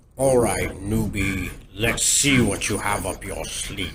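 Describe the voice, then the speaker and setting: With audible echo, a man uses a put-on character voice at a fairly low pitch and a fairly slow pace. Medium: audio drama.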